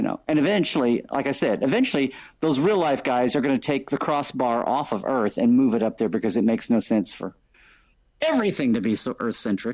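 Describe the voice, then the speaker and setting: Speech moves along fairly quickly. Its intonation rises and falls in a lively way. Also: man, medium pitch for a man. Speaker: actor, author and stellar cartographer. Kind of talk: casual chat. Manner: rambling, halting.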